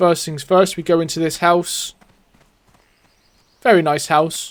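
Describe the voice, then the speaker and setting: A man with a high pitch and fairly even intonation speaks at a fairly slow pace, his loudness swinging widely. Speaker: gaming YouTuber. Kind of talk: gameplay commentary. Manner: stutters and stumbles.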